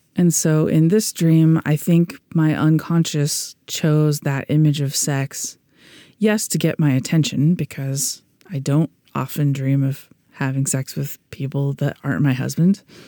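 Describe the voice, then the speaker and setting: In an American accent, a woman with a very deep, low pitch and a dark, mellow tone speaks at a fairly slow pace with ordinary pitch variation, in a very clean recording with a silent background and a dry, close sound with no echo. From US Midwest. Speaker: podcast host and pediatrician. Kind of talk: scripted podcast narration about dream interpretation.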